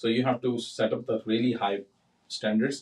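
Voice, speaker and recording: A man speaks at a moderate pace with a Punjabi Indian accent. His pitch is medium. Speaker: realtor and builder. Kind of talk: casual chat. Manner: animated.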